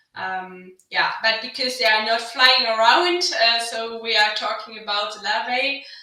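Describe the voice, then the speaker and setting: A woman speaks at a fairly slow pace with a German accent. Her fairly high pitch shows ordinary variation, and the room echo is audible. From western Germany, North Rhine-Westphalia. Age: 30s. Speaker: agricultural innovation manager. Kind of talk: podcast interview. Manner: hesitant, many fillers.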